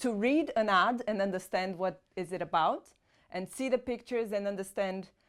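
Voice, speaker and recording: With a Portuguese accent, a woman speaks at a moderate pace with ordinary pitch variation. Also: medium pitch for a woman. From Brazil. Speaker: private renter. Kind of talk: interview.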